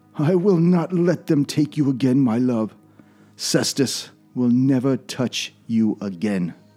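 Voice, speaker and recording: A man's put-on character voice, soft-spoken and shaky, medium in pitch, at a fairly slow pace over faint background music. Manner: soft, trembling.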